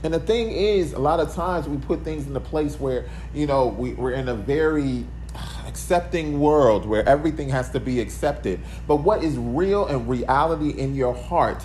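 Over noticeable background noise and audible room echo, a man talks at a moderate pace. His fairly low voice moves in very wide pitch swings. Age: 40s. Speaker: podcast host. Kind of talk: solo motivational monologue. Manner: casual, conversational.

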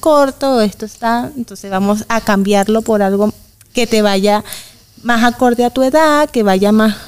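An unremarkable speaking voice from a woman, with ordinary pitch variation, comes at a moderate pace. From Venezuela, Valencia, Carabobo. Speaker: migrant woman, mother. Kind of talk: interview conversation.

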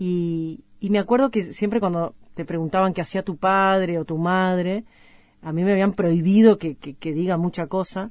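A woman speaks in a Uruguayan accent at a moderate pace and medium pitch. Her intonation stays fairly even against a quiet background. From Uruguay, Paysandú. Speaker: singer-songwriter. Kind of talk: radio music show presenting. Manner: hesitant, repeating words.

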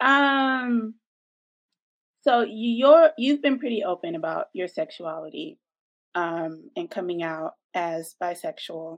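The speech moves at a very slow pace, with very wide pitch swings and long, frequent pauses. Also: woman, fairly high pitch for a woman. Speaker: co-host, interviewer. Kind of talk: casual interview.

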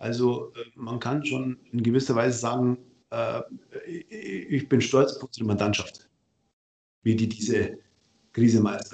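A man talks at a fairly slow pace with a medium pitch and ordinary pitch variation. Long, frequent pauses break up his speech. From Bavaria, Ingolstadt. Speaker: tax advisor. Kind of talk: casual interview.

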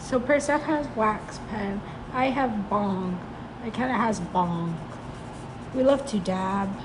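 Amid audible room echo and noticeable background noise, a woman with a fairly high pitch speaks at a very slow pace, with lively intonation and long, frequent pauses. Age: 20s. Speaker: podcast co-host. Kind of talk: casual chat.

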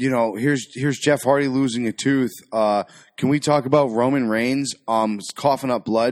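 Heard on a very clean recording with a silent background, a man with an unremarkable speaking voice talks at a moderate pace, medium in pitch with ordinary pitch variation. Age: 40s. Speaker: podcast co-host. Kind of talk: casual movie commentary. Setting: home studio on couches in front of a TV.

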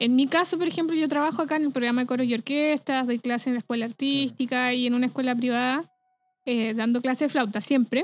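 A woman talks at a very fast pace in a high pitch, with fairly even intonation and very even loudness. The sound is dry and close with no echo, and music plays in the background. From Chile (Rancagua). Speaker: flutist, music teacher. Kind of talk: casual interview chat.

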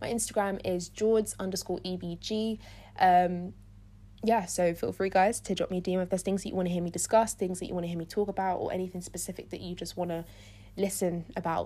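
A woman with a London accent speaks at a very fast pace in a medium pitch. Her dark, mellow tone stays monotone and flat on a very clean recording with a silent background. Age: 20s. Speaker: podcast host, student. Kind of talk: solo podcast monologue.

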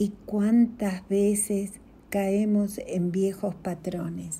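This woman's voice sits at a medium pitch with a dark, mellow tone and is somewhat breathy. She speaks at a very slow pace. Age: 60s. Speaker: spiritual coach. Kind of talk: inspirational reflection.

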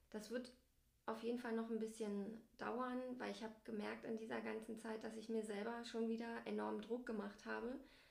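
Room echo is audible as a woman speaks at a moderate speed. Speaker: family blogger and podcast co-host. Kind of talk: casual chat.

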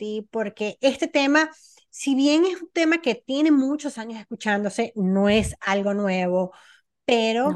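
A woman with a normal speaking voice talks at a fairly high pitch and a fairly slow pace. The sound is dry and close with no echo, over a quiet background. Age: 40s. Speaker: podcast host. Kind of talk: interview conversation.

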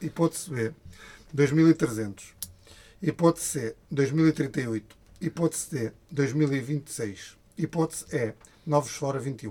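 Dark and mellow in tone and somewhat breathy, the voice moves at a very slow pace with long, frequent pauses and ordinary pitch variation. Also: man, fairly high pitch for a man. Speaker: podcast co-host. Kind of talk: casual chat.

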